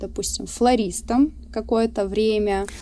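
A woman talks at a moderate pace in a medium pitch. Her pitch varies in an ordinary way. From Russia, Surgut (Western Siberia). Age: 20s. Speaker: tattoo artist and university student. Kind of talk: casual interview.

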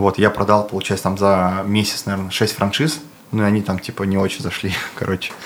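A man's fairly low voice keeps a fairly even intonation against noticeable background noise. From Bashkortostan, Russia (Ufa). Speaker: clothing brand co-founder, entrepreneur. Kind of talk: casual interview.

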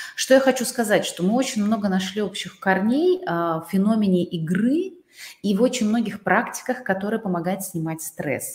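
A woman's somewhat breathy voice at medium pitch and a moderate pace, with lively intonation. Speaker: interview show host and coach. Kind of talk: interview. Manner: warm, polite.

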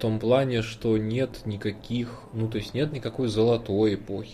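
At a fairly slow pace, a man speaks in a fairly low pitch with fairly even intonation amid noticeable background noise. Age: 30s. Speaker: podcast co-host. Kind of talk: casual chat. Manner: quiet. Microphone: quiet microphone.

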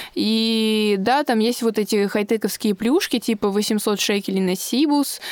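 Speaking at a fairly slow pace, a woman with a fairly high pitch uses an animated tone. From Russia, Moscow. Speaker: social media creator and office secretary. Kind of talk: interview, casual chat. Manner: animated, laughing.

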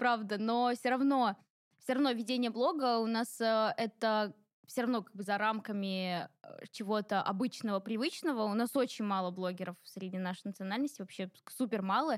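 A plain, everyday voice is heard here. It moves at a moderate speed with ordinary pitch variation. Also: woman. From Ingushetia (North Caucasus). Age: 20s. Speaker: blogger and personal brand expert. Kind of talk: interview. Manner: casual.

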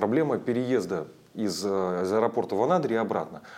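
At a moderate pace, a man talks with lively intonation at a medium pitch. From Russian Far East (Chukotka). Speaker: tour operator and travel writer. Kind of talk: interview. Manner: hesitant, many fillers.

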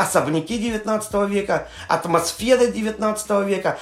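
A man speaks at a high pitch. Background noise is noticeable. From Yaroslavl region, Russia. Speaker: tour guide. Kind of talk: interview. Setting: remote call.

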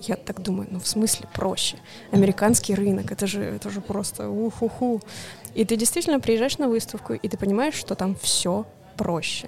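Over noticeable background noise, a woman with a medium-pitched voice speaks at a moderate pace with ordinary pitch variation. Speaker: board game publisher's international projects manager. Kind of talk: casual chat. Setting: coffee shop.

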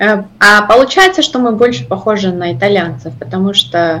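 A woman with a Georgian accent speaks with very wide pitch swings over noticeable background noise. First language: Georgian (speaking Russian). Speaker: operations director. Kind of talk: interview. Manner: halting.

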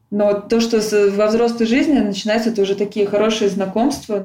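A woman with a normal speaking voice, medium pitch, and moderate pace. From Russia, Tula. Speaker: emigrant guest. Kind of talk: casual interview.

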